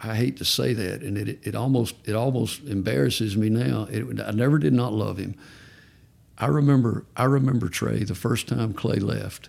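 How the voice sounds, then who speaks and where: A man with a fairly low pitch and vocal fry talks at a fairly slow pace, his intonation lively. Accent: Southern US. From Georgia. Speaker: parent of recovering addict. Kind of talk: testimony.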